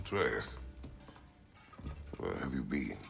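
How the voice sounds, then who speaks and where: Over clear background noise comes a raspy, put-on character voice. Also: man. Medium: video game. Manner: terse, gruff.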